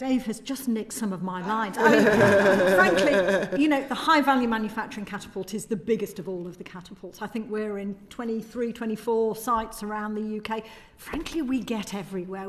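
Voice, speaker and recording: A fairly high-pitched woman with a Yorkshire accent at a fairly quick pace, with ordinary pitch variation and noticeable background noise. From northern England, Yorkshire (Doncaster). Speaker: manufacturing research organisation policy director. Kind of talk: parliamentary committee testimony.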